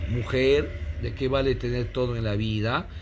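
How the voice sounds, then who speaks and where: Light background noise sits behind a man speaking with vocal fry. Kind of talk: casual collection showcase commentary. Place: home room. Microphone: phone near.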